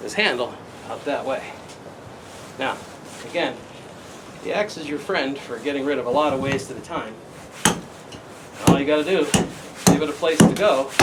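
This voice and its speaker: Over noticeable background noise, a man talks at a fairly high pitch and a moderate pace, with ordinary pitch variation and long, frequent pauses. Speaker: hobby woodcarver. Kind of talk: casual tutorial talk to camera. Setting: outdoors. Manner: relaxed, talkative.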